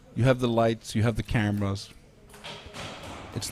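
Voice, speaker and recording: A man at a medium pitch talks at a moderate pace while noticeable background noise carries on around him. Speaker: sports commentator. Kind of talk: live commentary. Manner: casual, halting.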